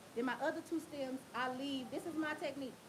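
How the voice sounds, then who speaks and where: A loud woman with a high pitch, an animated tone, ordinary pitch variation and a fairly quick pace, over noticeable background noise. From Tennessee. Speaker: hair braider. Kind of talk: livestream tutorial. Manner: casual, animated.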